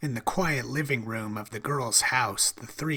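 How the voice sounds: Pitch varies in an ordinary way throughout a natural reading voice.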